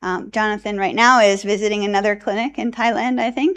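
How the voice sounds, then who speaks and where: At a fairly quick pace, a woman with a plain, everyday voice speaks at medium pitch with ordinary pitch variation. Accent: American. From US Northeast, New Jersey. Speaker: addiction researcher. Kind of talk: conference presentation. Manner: casual, many filler ums.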